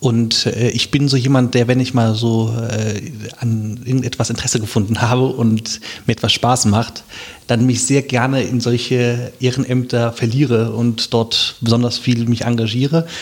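A man speaks at a moderate pace and medium pitch, his loudness very even. His intonation is monotone and flat, with noticeable background noise behind him. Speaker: local election candidate. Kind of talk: casual interview.

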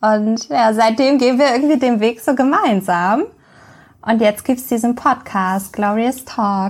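Recorded very cleanly against a silent background, a woman speaks at a fairly slow pace with fairly high pitch, very even loudness and ordinary pitch variation. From Hamburg, Germany. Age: 30s. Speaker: podcast co-host, blogger. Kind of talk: casual podcast introduction.

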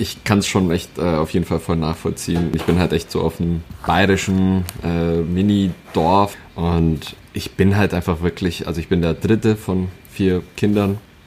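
A man with a very deep, low pitch and monotone, flat intonation, speaking at a fairly slow pace over noticeable background noise. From rural Bavaria, Germany. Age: 20s. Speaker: internet personality. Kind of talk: casual chat.

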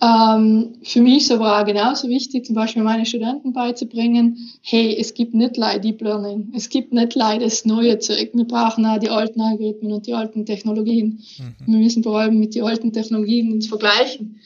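A woman with a South Tyrolean accent, fairly high in pitch, fairly quick and monotone, with flat intonation. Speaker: professor of natural language processing. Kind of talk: casual interview.

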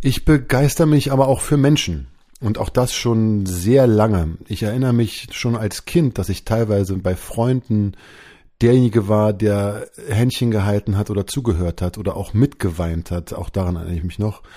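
A man with a dark, mellow tone speaks in a very clean recording with a silent background. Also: fairly low pitch for a man, ordinary pitch variation, moderate pace. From Berlin, Germany. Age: 40s. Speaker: leadership coach and podcast host. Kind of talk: solo podcast monologue.

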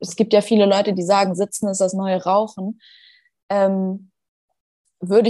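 The tone here is dark and mellow. Long pauses come often. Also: woman. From Schleswig-Holstein, northern Germany. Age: 20s. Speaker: fitness trainer and hypnosis coach. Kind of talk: casual interview chat.

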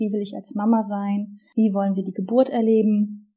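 A woman speaks in a fairly high pitch with a dark, mellow tone. Her voice is somewhat breathy. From northern Germany, Wismar on the Baltic coast. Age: 30s. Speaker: podcast co-host, sports manager. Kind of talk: podcast introduction, casual.

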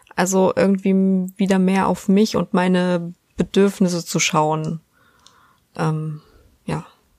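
Delivered at a very slow pace with long, frequent pauses, the speech has monotone, flat intonation and a dry, close sound with no echo. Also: woman, medium pitch for a woman. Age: 20s. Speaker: podcast host. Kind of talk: casual chat.

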